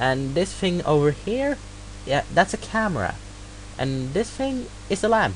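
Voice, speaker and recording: A man with a slight non-native accent talks at a fairly slow pace amid noticeable background noise. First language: not English. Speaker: hobbyist tutorial maker. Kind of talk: screen-recorded software tutorial. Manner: halting, many fillers.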